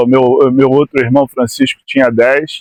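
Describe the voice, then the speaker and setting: Here a man talks at a fairly slow pace. His pitch varies in an ordinary way. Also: dry, close sound with no echo. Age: 60s. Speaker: former amateur footballer. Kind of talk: interview. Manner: halting, with frequent repetitions.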